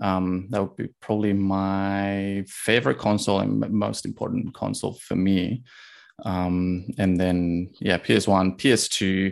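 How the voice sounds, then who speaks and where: Using fairly even intonation, a man with a Spanish accent speaks at a very slow pace. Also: fairly low pitch for a man, quiet background. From Spain. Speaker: indie game developer. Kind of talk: interview.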